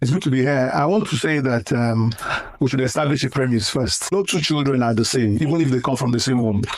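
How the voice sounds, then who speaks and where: A man's medium-pitched voice at a very fast pace, with very even loudness and ordinary pitch variation, over noticeable background noise. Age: 60s. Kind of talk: interview answer, life advice.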